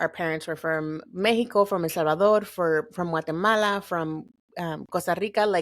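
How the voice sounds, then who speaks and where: Her pitch sits in the medium range for a woman, and her intonation stays fairly even. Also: very clean recording, silent background. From Southern California, Lynwood (Los Angeles area). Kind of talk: podcast interview.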